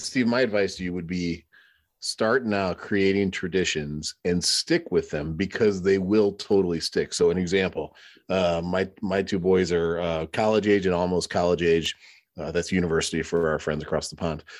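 Pitched very deep and low, a man speaks at a moderate pace with fairly even intonation. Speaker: podcast co-host. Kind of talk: casual chat.

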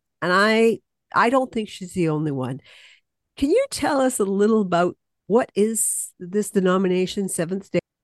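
Against a quiet background, a woman with a plain, everyday voice speaks at a moderate pace and medium pitch, using lively intonation in a dry, close sound with no echo. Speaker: community podcast host. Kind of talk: casual interview.

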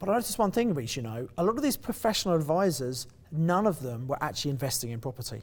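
A somewhat breathy, very fast voice in a southern English accent, with very wide pitch swings. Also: man, fairly high pitch for a man. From southeast England (Kent). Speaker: property investor and coach. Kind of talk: interview. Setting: event venue.

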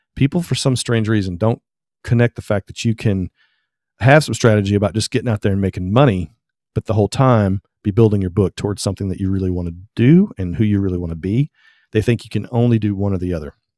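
In a Southern US accent, a man talks very fast with a fairly low pitch, a dark, mellow tone, and ordinary pitch variation, on a very clean recording with a silent background and a dry, close sound with no echo. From Tennessee. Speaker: photographer. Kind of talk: interview.

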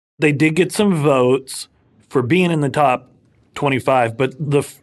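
This man talks fairly slowly at a medium pitch with ordinary pitch variation. He has a plain, everyday voice. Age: 30s. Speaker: lawyer and podcast co-host. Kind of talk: casual chat.

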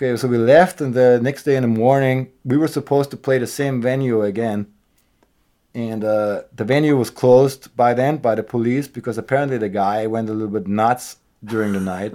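A man speaks in a dark, mellow tone at a fairly quick pace. The recording is very clean, with a silent background. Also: medium pitch for a man, fairly even intonation. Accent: German. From Austria. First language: German. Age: 40s. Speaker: punk rock musician. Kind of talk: casual chat.

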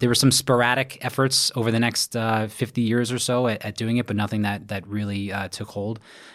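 A man in a New York accent, medium pitch, monotone and flat, at a fairly quick pace with hardly any pauses. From Brooklyn, New York. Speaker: firefighter and triathlon coach. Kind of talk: interview.

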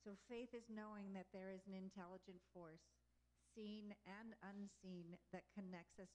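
In a normal speaking voice with an American accent, the speaker talks at a moderate pace with fairly even intonation. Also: woman. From Texas. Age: 60s. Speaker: wolf sanctuary founder and spiritual talk leader. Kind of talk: inspirational talk to a gathering. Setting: live gathering with audience.

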